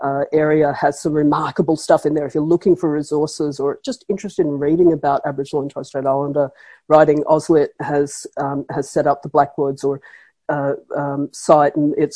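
Against a quiet background, a woman with a very deep, low pitch and a dark, mellow tone speaks at a moderate pace in a dry, close sound with no echo. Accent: Australian. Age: 50s. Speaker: professor. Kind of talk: interview.

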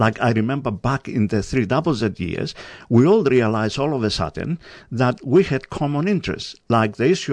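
A man with a Greek accent speaks at medium pitch and moderate pace with lively intonation. The background is quiet. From Greece, island of Rhodes. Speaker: community radio coordinator. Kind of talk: interview. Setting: studio.

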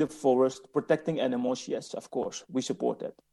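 Vocal fry and a dark, mellow tone, with very wide pitch swings at a fairly quick pace. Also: man. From West Papua, raised in the Netherlands. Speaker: independence campaign spokesperson. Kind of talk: speech. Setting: conference hearing.

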